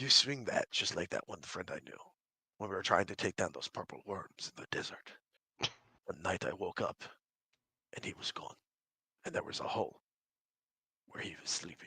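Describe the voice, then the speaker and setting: A man in a put-on character voice, raspy and mumbling, at a moderate pace with long, frequent pauses. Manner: mumbling, world-weary.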